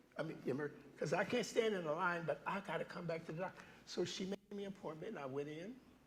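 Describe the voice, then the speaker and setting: Talking at a very fast pace, a man uses a high pitch in an animated tone with ordinary pitch variation. Background noise is noticeable. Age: 70s. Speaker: guest preacher. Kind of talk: sermon. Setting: church. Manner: animated storytelling.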